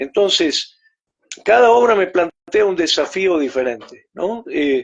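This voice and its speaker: A man with a Rioplatense accent, high-pitched, very slow, with lively intonation. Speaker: theatre researcher. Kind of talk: interview. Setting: video call.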